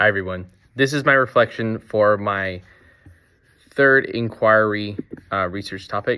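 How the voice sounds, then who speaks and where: A man with a fairly low pitch speaks at a fairly slow pace. His tone is bright and sharp, with ordinary pitch variation. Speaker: teacher. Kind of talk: reflection monologue. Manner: hesitant, many fillers.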